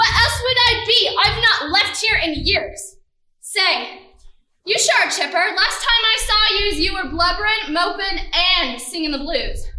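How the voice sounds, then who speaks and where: A gruff, put-on character voice at an extremely high pitch goes at a moderate pace with a slight echo. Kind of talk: comic school-play acting. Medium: stage play. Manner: gruff, streetwise, calls others punk and pup.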